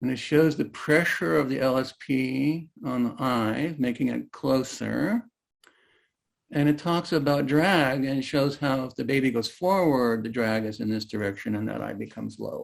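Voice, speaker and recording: Here a man uses a normal speaking voice at a medium pitch. He goes at a fairly slow pace, and his pitch varies in an ordinary way. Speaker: therapist and trainer. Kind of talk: online talk presentation.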